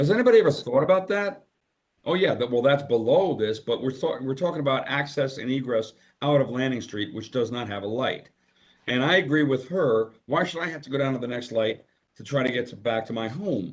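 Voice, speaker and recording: Man at a medium pitch, lively intonation and a fairly quick pace. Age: 60s. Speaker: public commenter at town meeting. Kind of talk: public comment at meeting. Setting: video call. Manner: halting, with fillers.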